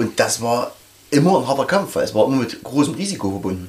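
Moving at a fairly quick pace, a man's voice sweeps through very wide pitch swings. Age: 40s. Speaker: metal club member. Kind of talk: casual interview.

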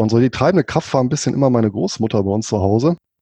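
A man talks with a dark, mellow tone. His intonation is lively. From Rhineland, Germany (Bonn), Spanish roots. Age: 40s. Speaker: finance blogger and author. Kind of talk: interview.

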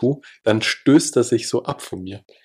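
His voice sits at a medium pitch for a man. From Salzburg, Austria. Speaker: podcast host. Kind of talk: casual chat.

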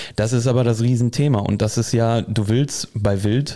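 The tone is dark and mellow, and the pace fairly slow. Intonation stays monotone and flat. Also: man. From Ruhr area, Germany, near Sauerland. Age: 20s. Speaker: hunting travel coordinator, shotgun expert. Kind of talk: casual chat.

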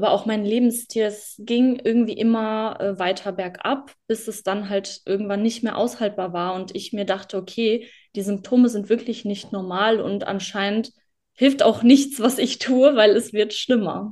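At a moderate pace, an unremarkable speaking voice delivers its words with fairly even intonation. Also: woman, fairly high pitch for a woman. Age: 20s. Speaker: former client sharing success story. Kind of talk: interview testimony.

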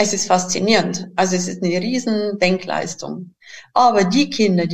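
A somewhat breathy woman's voice at medium pitch, with a Bavarian accent. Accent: Bavarian, noticeable. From Bavaria, southern Germany. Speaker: educator and inventor of learning materials. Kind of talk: interview conversation.

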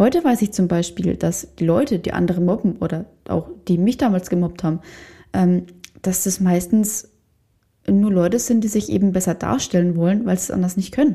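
A woman speaks at a moderate pace with long, frequent pauses, her medium-pitched voice somewhat breathy with a dark, mellow tone. Her pitch variation is ordinary. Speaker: podcast host and photographer/coach. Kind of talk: solo podcast monologue.

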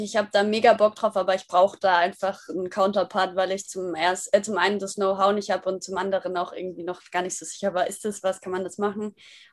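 A woman is speaking. Her pace is fairly quick. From Germany, Würzburg (Franconia). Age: 20s. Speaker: app founder, yoga teacher. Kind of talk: podcast interview.

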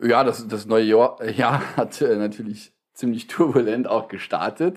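A man talks in an ordinary speaking voice at a medium pitch with ordinary pitch variation. His pace is fairly slow, on a very clean recording with a silent background. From Saarland, Germany. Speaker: politician and trade unionist. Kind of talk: casual chat.

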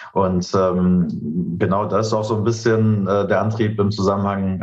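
Fairly slow and fairly even in intonation, the speech comes with audible room echo. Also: man. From Berlin, Germany. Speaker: startup founder. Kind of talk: interview. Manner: many filler sounds (ähm, äh).

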